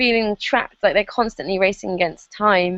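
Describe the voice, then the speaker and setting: Speaking in an English accent, a woman's voice stays at a medium pitch. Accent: very English. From England. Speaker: online marketer. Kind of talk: interview. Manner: hesitant, many fillers.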